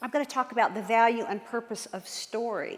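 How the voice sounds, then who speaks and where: Over noticeable background noise, a woman with a Southern US accent sounds animated at a high pitch. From US South, Norfolk, Virginia. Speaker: children's author and speaker. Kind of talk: church talk to audience. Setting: stage with audience.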